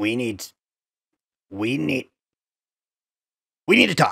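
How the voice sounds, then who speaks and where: A man puts on a character voice at a medium pitch. He takes it at a fairly slow pace. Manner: sarcastic, manic.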